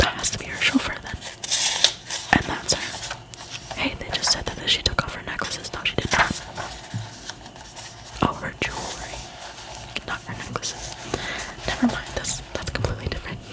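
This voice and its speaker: A woman whispers with long, frequent pauses and big swings in loudness. Noticeable background noise runs underneath. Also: moderate pace. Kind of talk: casual chatty talk to camera between reading. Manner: whispered, soft-spoken.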